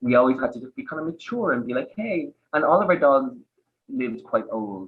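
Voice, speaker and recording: With an Irish accent, a man talks at a fairly quick pace and a fairly high pitch, with lively intonation and big swings in loudness. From Ireland, Dublin area. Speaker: podcast guest, dog owner. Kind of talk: casual chat. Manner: animated.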